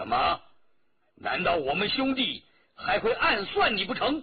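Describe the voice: Doing a put-on character voice, a man speaks at a fairly slow pace, high-pitched with very wide pitch swings and a husky, rough edge.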